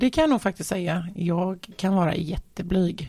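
Her intonation is lively as this woman speaks. The recording is very clean, with a silent background. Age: 40s. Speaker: entrepreneur. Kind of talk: casual interview.

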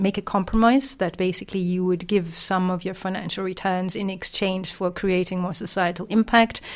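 A woman speaks in a normal speaking voice at medium pitch. Her pace is moderate and her intonation fairly even. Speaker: social impact investor. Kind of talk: interview conversation.

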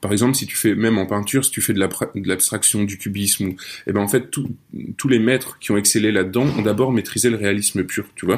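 A man's plain, everyday voice, fairly low in pitch, at a fairly quick pace with fairly even intonation. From France, Nancy. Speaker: audio fiction writer. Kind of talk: casual interview chat. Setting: remote call.

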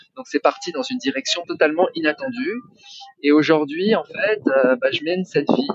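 A man speaks in a high pitch at a moderate pace. His voice makes very wide pitch swings. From Paris region, France (Yvelines). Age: 40s. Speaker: property investor and online entrepreneur. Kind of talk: interview testimony.

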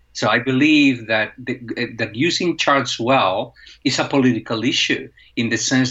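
With a Spanish accent, a man speaks at a fairly slow pace and with ordinary pitch variation. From Spain. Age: 40s. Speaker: professor of visual journalism. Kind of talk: interview.

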